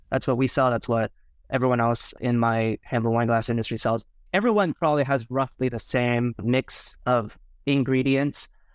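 A man speaks in an ordinary speaking voice at medium pitch and a moderate pace. His intonation is fairly even, his loudness very even, and the recording very clean with a silent background. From Canada, Toronto. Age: 30s. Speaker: glassware company founder. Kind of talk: casual interview.

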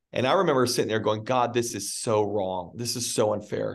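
A man talks at a fairly quick pace in a plain, everyday voice. His pitch variation is ordinary. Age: 30s. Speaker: pastor and author. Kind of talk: interview.

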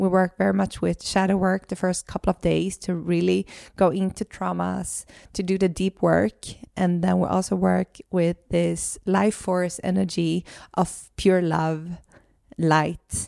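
A woman speaks fairly slowly with a Swedish accent. The recording is very clean and dry, close-miked with no echo and a silent background. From Sweden. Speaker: podcast host and holistic coach. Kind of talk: casual conversational podcast chat. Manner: hesitant, searching for English words.

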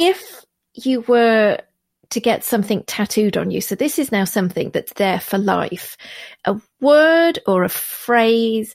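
A woman speaks at a fairly slow pace in an ordinary speaking voice, with lively intonation and a fairly high pitch. The recording is very clean, with a silent background. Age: 40s. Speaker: podcast host. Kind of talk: casual chat.

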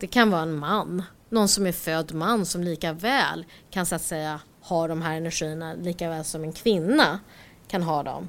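A woman's fairly low, plain, everyday voice at a moderate pace with ordinary pitch variation. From Stockholm, Sweden. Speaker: IT entrepreneur. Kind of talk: interview.

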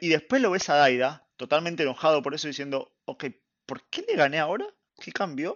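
A man speaks fairly quickly at a high pitch. His pitch swings very widely. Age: 30s. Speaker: anime podcast guest. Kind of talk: casual chat.

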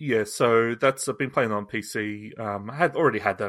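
On a very clean recording with a silent background, a man speaks at a medium pitch and a fairly quick pace, with a bright, sharp tone and ordinary pitch variation. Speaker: podcast co-host. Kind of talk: casual chat.

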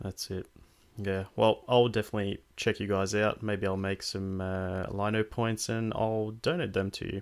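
This man has a normal speaking voice, fairly low in pitch, with fairly even intonation. He speaks at a moderate pace in a very clean recording with a silent background. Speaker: podcast host. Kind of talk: casual chat.

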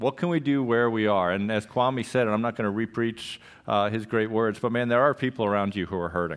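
Here a man with an unremarkable speaking voice speaks at a moderate pace. His pitch is medium, with ordinary pitch variation. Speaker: pastor. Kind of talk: church announcements. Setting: church. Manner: casual, upbeat.

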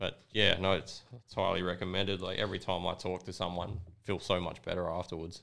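A man with an Australian accent speaks in a very deep, low pitch with a monotone, flat intonation. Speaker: record label owner and gig promoter. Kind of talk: casual chat.

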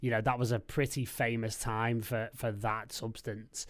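A man speaks with a Liverpool accent in a very clean recording with a silent background. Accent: Liverpool (Scouse) English. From Liverpool, England. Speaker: DJ and record label head. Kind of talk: casual chat.

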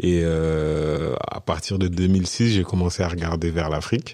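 Fairly even intonation in a man's very deep, low voice. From France, Senegal-born. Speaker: business consultant. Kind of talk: podcast interview. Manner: hesitant, many fillers.

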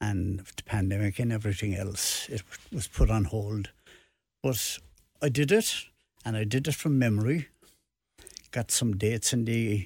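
A man with a Cork accent, fairly low in pitch and somewhat breathy, at a moderate pace with long, frequent pauses, ordinary pitch variation and big swings in loudness, on a very clean recording with a silent background. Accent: Cork Irish. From Ireland, Cork. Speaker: retired football referee and author. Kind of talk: radio interview. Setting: radio studio.

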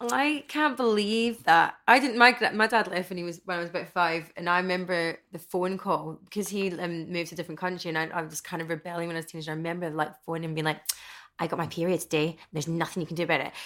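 A woman's fairly low voice in a Glasgow accent, very fast, with ordinary pitch variation. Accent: Scottish (Glasgow). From Scotland, Stirling and Glasgow. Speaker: panel guest. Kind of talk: casual chat.

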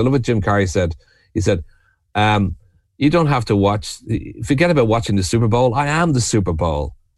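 The man has a Dublin accent and a fairly low pitch. He talks at a fairly quick pace. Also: very clean recording, silent background. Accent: Irish (Dublin). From Ireland, Dublin. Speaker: writer, poet and retreat leader. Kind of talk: podcast interview.

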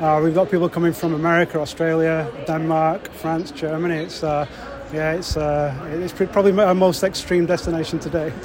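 A man speaks with a fairly high pitch and monotone, flat intonation. Noticeable background noise runs under his voice. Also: moderate pace. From northern England, Wigan. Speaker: travel company founder. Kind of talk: interview. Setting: railway station. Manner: halting, with fillers.

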